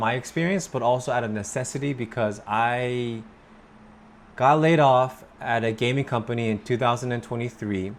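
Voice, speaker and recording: This man talks at a medium pitch. His pitch varies in an ordinary way. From United States (born in Korea, raised in America). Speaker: English pronunciation teacher. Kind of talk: casual talk to camera. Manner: casual, with fillers and self-corrections.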